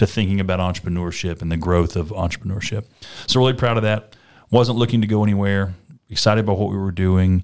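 A man's fairly low voice at a very fast pace, fairly even in intonation, on a very clean recording with a silent background. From North Alabama, small town. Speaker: startup incubator CEO. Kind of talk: interview.

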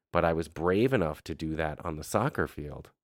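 A man with a very deep, low pitch speaks at a moderate pace in an animated tone. The recording is very clean, with a silent background and a dry, close sound with no echo. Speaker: podcast host. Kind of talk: casual podcast chat, comedic. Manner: animated, joking.

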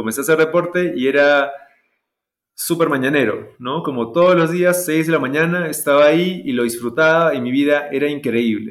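Speaking at a moderate pace, the man has a fairly high pitch with ordinary variation. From Peru, Cusco. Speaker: movement coach and school co-founder. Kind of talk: casual interview conversation. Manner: hesitant, many fillers and repetitions.

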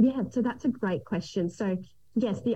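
A woman's lively intonation in an Australian accent. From Australia, Gold Coast. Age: 30s. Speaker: island resort family operator and pilot. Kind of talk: interview.

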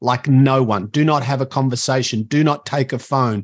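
A man with an Australian accent speaks at a moderate pace with ordinary pitch variation, recorded with a dry, close sound and no echo. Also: very clean recording, silent background. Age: 50s. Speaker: motivational speaker and educator. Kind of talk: casual interview.

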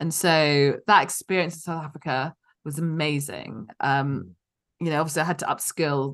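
Against a quiet background, a woman with a very deep, low pitch speaks at a moderate pace with fairly even intonation. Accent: London. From London. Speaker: physician and company founder. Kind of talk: interview.

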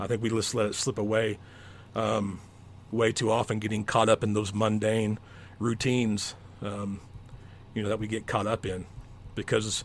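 The speech is delivered in a monotone, flat intonation, broken by long, frequent pauses. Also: man. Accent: American. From Oklahoma. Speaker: educator and coach. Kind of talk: casual interview chat.

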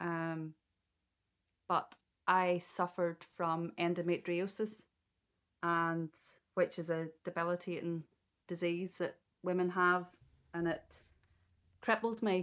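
In a Northern Irish accent, the speaker talks at a very slow pace with long, frequent pauses and monotone, flat intonation, on a very clean recording with a silent background. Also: woman, fairly low pitch for a woman. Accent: Northern Irish (Ulster). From Northern Ireland, Ballymena. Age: 40s. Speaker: childminder. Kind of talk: interview.

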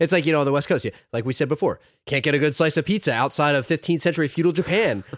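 A man with a fairly high pitch and ordinary pitch variation at a very fast pace, on a very clean recording with a silent background. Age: 30s. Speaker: podcast co-host. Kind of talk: casual chat.

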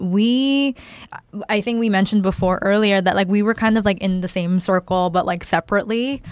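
In a Californian accent, a woman speaks with fairly even intonation. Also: very even loudness. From Arcadia, Los Angeles area. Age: late 20s. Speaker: podcast co-host. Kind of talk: casual chat.

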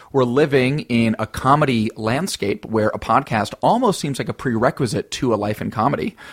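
Speaking at a moderate pace with hardly any pauses, a man keeps a medium pitch with ordinary variation, heard in a dry, close sound with no echo against noticeable background noise. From small town. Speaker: comedy podcast co-host. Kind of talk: casual chat; scripted intro.

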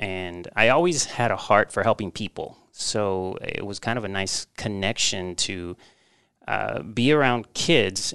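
This man has a fairly low pitch. Behind him, the background stays quiet. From Texas, born in Mexico. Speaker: parent trainer, former teacher. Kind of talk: interview. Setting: podcast. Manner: hesitant with fillers.

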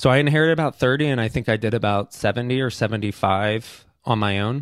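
A man, in an unremarkable speaking voice, talks fairly quickly and with ordinary pitch variation. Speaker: documentary filmmaker. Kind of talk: interview.

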